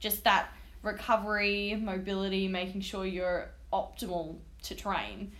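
In an Australian accent, a woman talks at a medium pitch with monotone, flat intonation. Her pace is fairly slow, and there is audible room echo. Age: 20s. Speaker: personal trainer. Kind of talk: casual chat.

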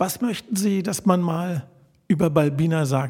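A man speaks at a fairly slow pace, his high-pitched voice full of lively intonation. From Berlin (Charlottenburg). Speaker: podcast host. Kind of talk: interview. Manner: formal.

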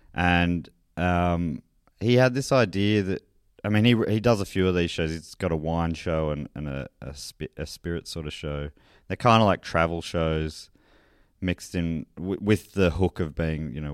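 A man with an Australian accent and a very deep, low pitch, at a moderate pace with ordinary pitch variation, in a very clean recording with a silent background and a dry, close sound with no echo. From country Victoria, Australia. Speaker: comedian and beer presenter. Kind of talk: casual interview chat.

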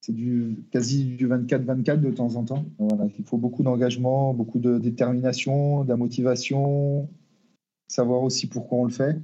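At a fairly slow pace, a man speaks in a dark, mellow tone with fairly even intonation. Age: 40s. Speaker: football team manager. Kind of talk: interview. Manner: halting, with repetitions and hesitations.

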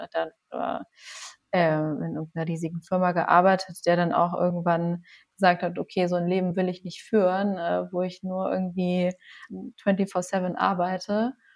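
Over a silent background in a very clean recording, a woman speaks with a fairly low pitch. Her pace is fairly slow and her intonation monotone and flat. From Lower Bavaria, Passau. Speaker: physician and cancer researcher, yoga teacher. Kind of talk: casual interview.

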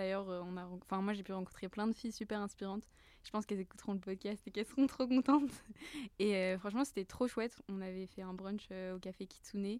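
At a fairly quick pace, a woman with a plain, everyday voice talks in a medium pitch with fairly even intonation. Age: 20s. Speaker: business school student. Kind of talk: casual chat.

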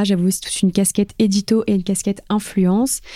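A dark, mellow tone moves at a moderate pace on a very clean recording with a silent background. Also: woman. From northern France, Lille. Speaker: influence project manager. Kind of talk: interview. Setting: office.

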